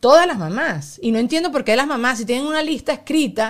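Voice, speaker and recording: At a very fast pace, a woman speaks in a high pitch. The recording is very clean, with a silent background. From Venezuela. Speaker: podcast host. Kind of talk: casual chat.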